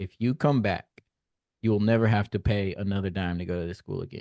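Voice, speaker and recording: A man with an American accent, an unremarkable speaking voice, fairly low pitch and fairly even intonation, against a quiet background. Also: dry, close sound with no echo. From US South, Nashville, Tennessee. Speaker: podcast host, mental health speaker. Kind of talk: casual interview conversation.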